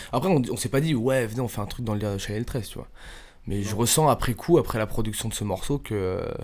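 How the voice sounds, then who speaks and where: In a normal speaking voice, a man talks at a fairly quick pace with medium pitch and ordinary pitch variation. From western Paris suburbs. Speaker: rapper in a music group. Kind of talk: casual interview.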